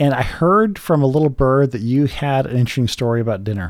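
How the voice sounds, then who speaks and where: At a fairly quick pace, a man speaks in a normal speaking voice of medium pitch with ordinary pitch variation. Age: 40s. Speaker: podcast host. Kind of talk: casual chat.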